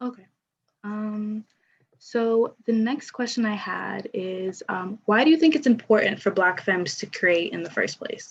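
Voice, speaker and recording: Soft-spoken and somewhat breathy, a woman talks at a fairly slow pace and a fairly high pitch. Her loudness swings widely, while her pitch varies in an ordinary way. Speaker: panel moderator and poet. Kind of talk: panel discussion.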